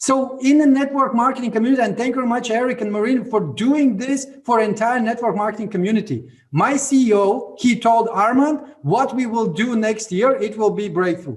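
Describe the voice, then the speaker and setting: A man with a Latvian accent speaks at an extremely high pitch and a fairly quick pace, with ordinary pitch variation and hardly any pauses. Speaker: network marketing leader. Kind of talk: motivational talk on a video call. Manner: halting.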